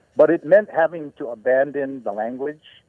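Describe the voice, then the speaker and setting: A man with a Hawaiian accent talks at a moderate pace. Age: 70s. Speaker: Hawaiian activist and folk singer. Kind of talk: radio interview. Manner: halting, many fillers.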